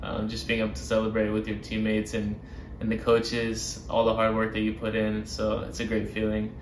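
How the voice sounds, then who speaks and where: A man's medium-pitched voice at a moderate pace, with audible room echo and light background noise. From Birmingham, Alabama. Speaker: professional soccer player. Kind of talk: interview answers. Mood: warm, reflective. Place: home room.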